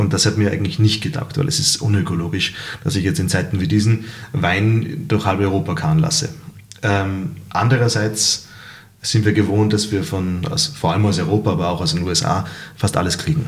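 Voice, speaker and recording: A man speaks fairly quickly in a fairly low voice with lively intonation. The room echo is audible. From Salzburg, Austria. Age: 30s. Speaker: restaurant owner and musician. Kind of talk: casual interview.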